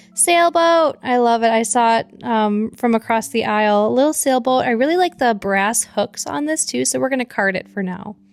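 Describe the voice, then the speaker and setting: A woman with an American accent talks at a fairly high pitch, with hardly any pauses. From Michigan, east side. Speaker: thrift reseller vlogger. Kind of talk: casual vlog narration. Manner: fast; animated.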